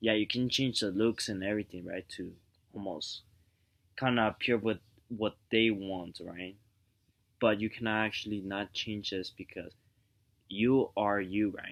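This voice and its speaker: Over a quiet background, a man talks at a fairly slow pace with long, frequent pauses. His voice sits fairly low, with fairly even intonation. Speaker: vlogger giving relationship advice. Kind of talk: casual vlog monologue. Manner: soft-spoken; rambling, halting with fillers.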